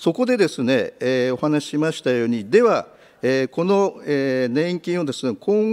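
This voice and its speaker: A man's fairly high voice with very wide pitch swings at a moderate pace, over a quiet background. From Japan. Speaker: politician. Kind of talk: parliamentary questioning. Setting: committee room. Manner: hesitant, many filler words. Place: meeting room. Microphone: podium.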